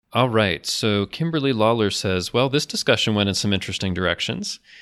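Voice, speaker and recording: The speaker talks at a very fast pace with an American accent. Pitch variation is ordinary. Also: man. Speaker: podcast host. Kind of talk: casual chat.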